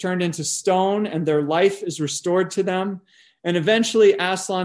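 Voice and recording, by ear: A natural voice reading out loud, pitch moving in the usual way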